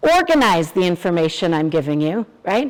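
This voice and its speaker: A woman speaks in an ordinary speaking voice at a moderate pace with lively intonation, on a very clean recording with a silent background. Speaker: psychologist giving staff training. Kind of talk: lecture.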